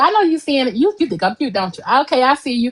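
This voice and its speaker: Against a quiet background, a woman speaks loudly with an American accent. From Chicago. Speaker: poet and confidence coach. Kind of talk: interview.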